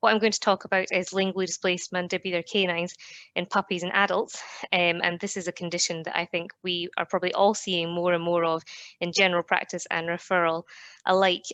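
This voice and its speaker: In a Scottish accent, a woman speaks very fast with a fairly low pitch, a bright, sharp tone and monotone, flat intonation. The sound is dry and close with no echo, over a quiet background. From Scotland. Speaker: veterinary dentist. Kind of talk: professional lecture.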